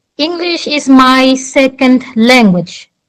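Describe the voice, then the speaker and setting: Her voice is high-pitched with lively intonation, and this woman speaks at a very slow pace in a Portuguese accent. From Angola. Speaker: debate participant. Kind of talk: debate.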